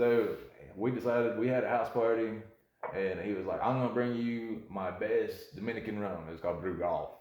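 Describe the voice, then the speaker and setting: A man with a North Carolina accent speaks at a moderate pace, with audible room echo. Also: medium pitch for a man, ordinary pitch variation. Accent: Southern US (North Carolina). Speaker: bartender podcast co-host. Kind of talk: casual chat. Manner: animated.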